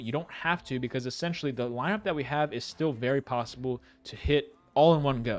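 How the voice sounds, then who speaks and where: A man with an American accent, his pitch fairly high and ordinary in variation, music playing in the background. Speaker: sports betting streamer. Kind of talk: live stream betting picks walkthrough. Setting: live stream. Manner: fast.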